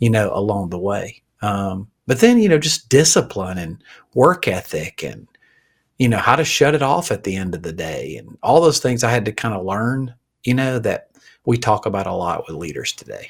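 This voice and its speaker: With a Southern accent, a man speaks at a medium pitch, somewhat breathy, his pitch swinging very widely and his loudness in big swings. The recording is very clean, the background silent. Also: moderate pace. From Alabama. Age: 50s. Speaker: pastor and leadership coach. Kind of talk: casual interview.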